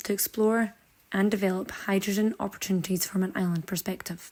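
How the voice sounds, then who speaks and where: Her voice is a normal speaking voice at medium pitch. The woman talks at a fairly quick pace. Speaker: podcast host. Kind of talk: podcast introduction.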